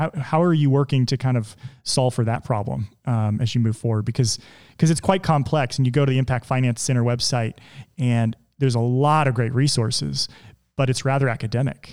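Using an ordinary speaking voice, a man moves at a fairly quick clip, his pitch medium and its variation ordinary. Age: 30s. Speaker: podcast host. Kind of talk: interview conversation.

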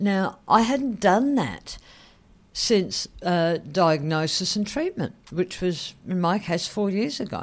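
Lively intonation runs through this very slow delivery, recorded very cleanly against a silent background. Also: woman, medium pitch for a woman. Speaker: podcast host and head and neck cancer survivor. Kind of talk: solo podcast monologue, personal and informative. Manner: slightly halting, with fillers and self-corrections.

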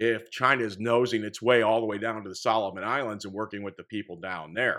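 Recorded very cleanly against a silent background, a man with an American accent talks at a fairly quick pace in a bright, sharp tone. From Indiana, US Midwest. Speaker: podcast host. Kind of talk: solo commentary monologue on news.

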